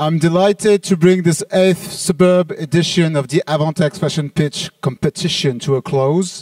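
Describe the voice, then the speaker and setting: A man with a French accent, high pitch, fairly even intonation and a moderate pace, in a dry, close sound with no echo. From France. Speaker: trade show organizer. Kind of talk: closing speech.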